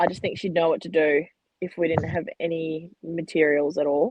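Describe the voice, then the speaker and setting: A woman speaks loudly with an Australian accent. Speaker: women's football player. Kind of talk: casual interview.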